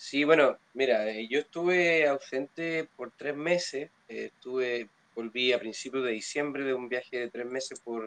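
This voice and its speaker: A man speaks at a fairly slow pace in a dry, close sound with no echo. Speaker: blues musician. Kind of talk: casual chat.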